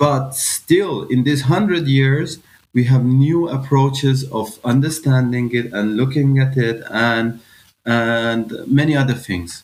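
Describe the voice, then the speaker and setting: A man with an Iranian accent, very slow pace, ordinary pitch variation. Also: medium pitch for a man. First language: Farsi. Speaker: physicist. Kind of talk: podcast interview. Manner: halting, many fillers.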